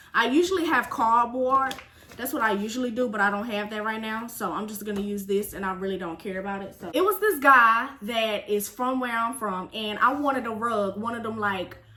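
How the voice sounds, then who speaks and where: A woman with a fairly high pitch and ordinary pitch variation talks at a fairly quick pace with hardly any pauses and an animated tone, against noticeable background noise. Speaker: vlogger. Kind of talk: storytime vlog. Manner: casual, animated.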